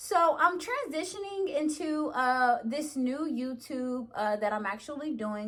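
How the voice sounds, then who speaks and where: A woman's high pitch and lively intonation over noticeable background noise. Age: 20s. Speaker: YouTuber. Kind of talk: casual vlog talk. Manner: casual, hesitant with fillers.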